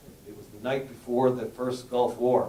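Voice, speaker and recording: With an American accent, the speaker comes through with audible room echo and noticeable background noise. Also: man. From US South, Miami Beach Florida. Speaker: rabbi and educator. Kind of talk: panel talk. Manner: halting.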